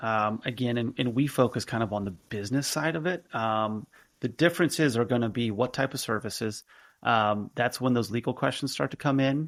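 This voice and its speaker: This man talks at a fairly quick pace, his pitch medium with ordinary variation. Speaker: healthcare business founder and CEO. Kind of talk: podcast interview. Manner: fast; conversational with frequent fillers.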